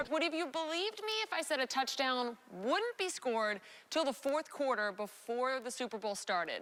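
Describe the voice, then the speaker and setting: Playful and upbeat, a woman speaks in a high voice with very wide pitch swings. She keeps a moderate pace with hardly any pauses. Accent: American. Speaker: sports reporter and anchor. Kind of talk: casual, humorous TV stand-up to camera. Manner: playful, upbeat.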